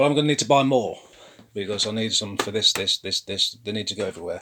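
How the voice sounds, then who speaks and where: A man speaks at a fairly quick pace in a dry, close sound with no echo. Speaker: model railway hobbyist vlogger. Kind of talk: casual build tutorial. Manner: casual, thinking aloud with fillers.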